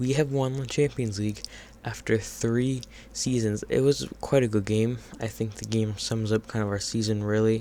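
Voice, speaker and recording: Quiet and fairly even in intonation, a man speaks at a moderate pace with a dark, mellow tone. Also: medium pitch for a man. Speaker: gaming youtuber. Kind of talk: gameplay commentary. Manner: hesitant, many fillers.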